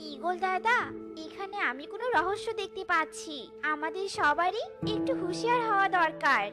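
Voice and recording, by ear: This cartoonish character voice has a bright, sharp tone and lively intonation, with faint music playing in the background. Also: moderate pace.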